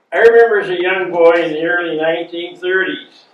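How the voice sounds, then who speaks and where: A man with an American accent speaks at a moderate pace in a fairly high pitch. Room echo is audible. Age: 80s+. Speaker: war veteran. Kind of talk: talk reading from notes.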